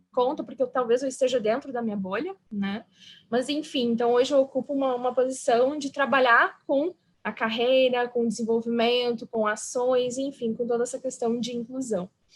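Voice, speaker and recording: At a moderate pace, a woman with a slight southern Brazilian accent speaks at a high pitch with ordinary pitch variation. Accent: gaúcho accent, slight. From southern Brazil (Rio Grande do Sul). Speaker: psychologist, diversity and inclusion specialist. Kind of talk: panel interview.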